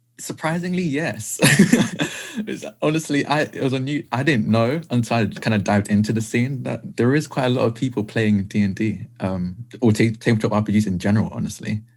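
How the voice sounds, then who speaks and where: Lively intonation marks this fairly quick delivery in a British accent. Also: man, medium pitch for a man. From England, Essex. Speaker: tabletop role-playing game player. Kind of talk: interview. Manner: halting.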